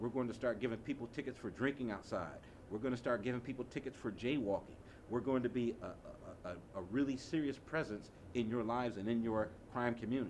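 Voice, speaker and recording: A man with an American accent and an ordinary speaking voice, medium in pitch, with ordinary pitch variation and a fairly quick pace. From US Midwest, Chicago. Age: 50s. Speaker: community violence prevention advocate. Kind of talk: panel discussion.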